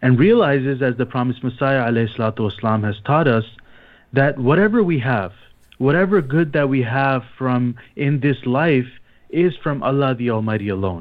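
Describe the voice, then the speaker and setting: A man speaks in a normal speaking voice at a moderate pace. His pitch sits in the medium range, with lively intonation. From Canada, Toronto. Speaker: imam and missionary. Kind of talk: religious talk on radio. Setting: phone line.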